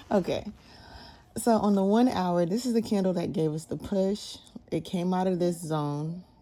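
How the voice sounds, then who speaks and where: A woman speaks at a moderate pace in a medium pitch with ordinary pitch variation. Her tone is dark and mellow. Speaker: day trader. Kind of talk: tutorial.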